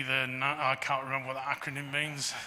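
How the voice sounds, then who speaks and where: This is a man speaking. He talks with an English accent. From England. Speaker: geological survey director. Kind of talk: Q&A after a lecture. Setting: talk to a society audience. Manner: halting with many fillers.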